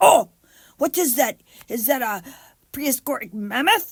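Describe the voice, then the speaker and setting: The voice is a put-on character, pitched high. It moves at a moderate pace. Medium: read story. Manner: broken caveman speech.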